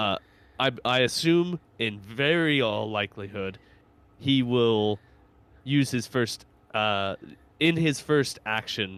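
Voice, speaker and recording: Using a medium pitch and ordinary pitch variation, a man talks at a very slow pace with long, frequent pauses. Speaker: podcast host. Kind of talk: casual chat.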